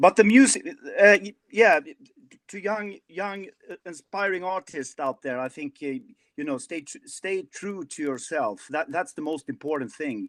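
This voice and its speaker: A man's high-pitched voice with a Swedish accent, lively intonation and big swings in loudness at a fairly slow pace, dry and close with no echo over a quiet background. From Sweden. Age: 50s. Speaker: rock singer. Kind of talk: interview. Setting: video call. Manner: halting.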